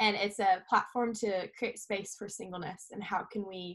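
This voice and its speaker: Fairly even intonation from a woman at medium pitch. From New Zealand. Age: 20s. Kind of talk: podcast interview.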